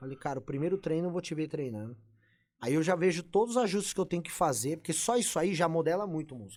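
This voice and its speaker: Recorded very cleanly against a silent background, a man speaks at a very fast pace and fairly high pitch, with lively intonation and big swings in loudness. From Brazil. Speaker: bodybuilding coach. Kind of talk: casual podcast interview. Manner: animated.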